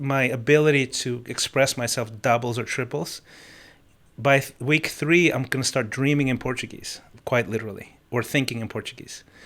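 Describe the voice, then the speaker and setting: Speaking at a moderate pace and medium pitch, a man with a slight non-native accent uses ordinary pitch variation. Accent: slight foreign. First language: Spanish or Russian. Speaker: musician and life coach. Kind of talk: interview. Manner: halting, many false starts.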